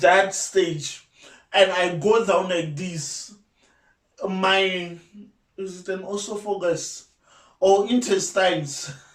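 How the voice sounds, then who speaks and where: In a room with audible echo, a man with a high pitch speaks at a very slow pace, with long, frequent pauses and big swings in loudness. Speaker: YouTuber. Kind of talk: casual vlog talk. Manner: halting.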